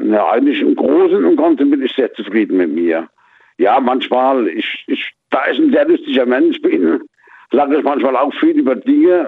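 Here a man keeps a moderate pace. His loudness stays very even. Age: 50s. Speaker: radio caller. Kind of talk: radio call-in chat. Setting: phone call.

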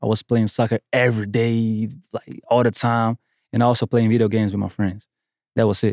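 With a Portuguese accent, a man speaks at a medium pitch in a dark, mellow tone and fairly even intonation. The recording is very clean with a silent background and a dry, close sound with no echo. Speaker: music producer. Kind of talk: casual interview chat. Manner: confident, boastful.

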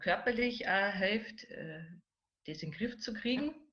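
A woman speaks with ordinary pitch variation. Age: 40s. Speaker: relaxation therapist. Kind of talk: interview.

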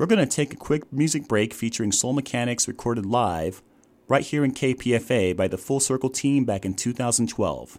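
A man speaks in an ordinary speaking voice at a fairly quick pace. The recording is very clean, with a silent background. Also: medium pitch for a man, ordinary pitch variation. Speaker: radio host. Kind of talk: radio interview show. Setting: studio.

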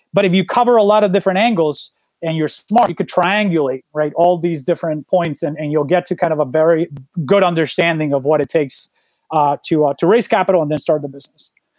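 A man with a Spanish accent talks very fast in a high voice with ordinary pitch variation, in a dry, close sound with no echo. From Colombia. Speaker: startup founder. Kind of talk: interview. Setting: video call.

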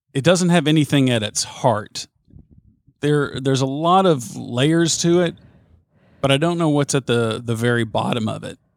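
A man with a strong Southern US accent and a fairly high pitch, ordinary pitch variation, moderate pace, and a dry, close, echo-free sound over a silent background in a very clean recording. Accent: thick Southern US. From US South. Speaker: sports radio host. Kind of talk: casual chat.

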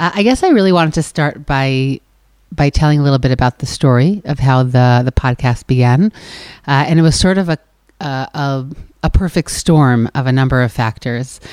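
A woman's very deep, low voice comes through dry and close, without any echo. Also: ordinary pitch variation, moderate pace. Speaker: podcast host. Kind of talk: live podcast conversation. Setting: stage with audience.

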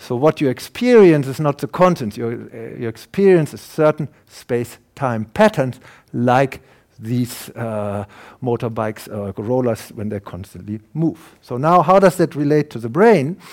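A man with a German accent speaks at a medium pitch with lively intonation and big swings in loudness. The recording is very clean, the background silent. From Germany. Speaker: professor and neuroscientist. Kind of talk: lecture.

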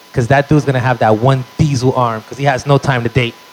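A man with a medium-pitched voice talks in an animated tone at a very fast pace over noticeable background noise. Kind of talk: stand-up comedy set. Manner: animated, punchy storyteller with crowd-work asides; profane and excitable, exaggerated bits.

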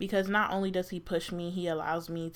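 A woman speaks in an animated tone at a fairly low pitch. The recording is very clean, with a silent background. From New Jersey. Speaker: podcast co-host. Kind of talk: casual chat. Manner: animated, laughing often.

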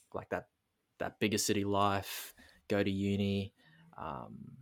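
A man's fairly low voice with an Australian accent, on a very clean recording with a silent background. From Darwin, Northern Territory, Australia. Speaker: mindset and business coach. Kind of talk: casual interview, life story. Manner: hesitant, many fillers.

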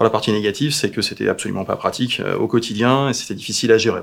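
Here a man uses a normal speaking voice at medium pitch. He talks at a fairly quick pace. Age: 40s. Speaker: pet food company founder. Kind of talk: live Q&A interview. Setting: Facebook live stream.

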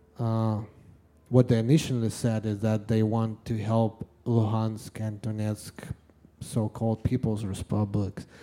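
His dark, mellow tone stays monotone and flat as this man speaks at a fairly slow pace and medium pitch. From Russia, Yekaterinburg. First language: Russian. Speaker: live music promoter. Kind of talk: interview. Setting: stage with audience. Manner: halting.

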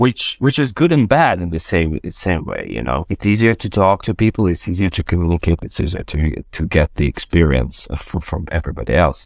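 In a very clean recording with a silent background and a dry, close sound with no echo, a man with vocal fry talks at a moderate pace, his pitch swinging very widely. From Ukraine. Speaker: UX/UI design director. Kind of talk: panel discussion. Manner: halting.

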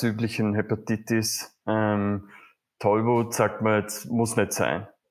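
A man speaks at a very slow pace. His fairly low voice is monotone, with flat intonation. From Vorarlberg, Austria. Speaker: community manager, travel guest. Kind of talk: casual interview.

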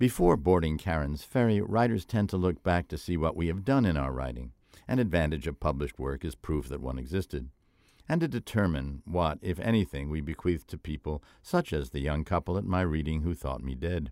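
A man speaks with a very deep, low pitch and lively intonation at a fairly quick pace. The recording is very clean, with a silent background and a dry, close sound with no echo. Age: old. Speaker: writer and essayist. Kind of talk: scripted narration.

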